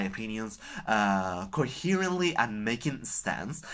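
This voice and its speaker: With a Spanish accent, a man of medium pitch speaks at a fairly slow pace with lively intonation and a bright, sharp tone, recorded very cleanly against a silent background. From Spain. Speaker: book vlogger. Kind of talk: casual vlog talk. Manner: halting, with filler sounds.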